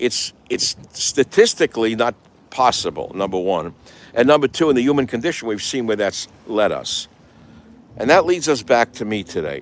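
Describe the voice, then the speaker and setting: A man with an American accent and an ordinary speaking voice, medium in pitch, with lively intonation at a moderate pace, in a dry, close sound with no echo on a very clean recording with a silent background. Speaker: radio talk show host. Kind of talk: talk show monologue. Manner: casual, rambling.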